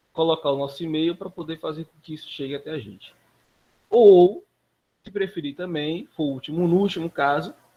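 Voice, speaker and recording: This man talks at a moderate pace in a high pitch, with long, frequent pauses. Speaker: instructor. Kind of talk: live online class. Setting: live stream.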